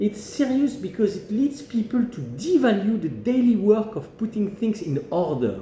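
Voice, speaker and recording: A high-pitched man with a French accent at a moderate pace, over noticeable background noise. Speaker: management academic. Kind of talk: opinion monologue.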